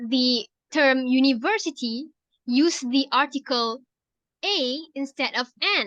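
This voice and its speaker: A woman's raised, projected voice, high-pitched and bright and sharp in tone, with a Malaysian accent and a dry, close sound free of echo. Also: quiet background. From Penang, Malaysia. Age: 20s. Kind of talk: scripted class assignment conversation.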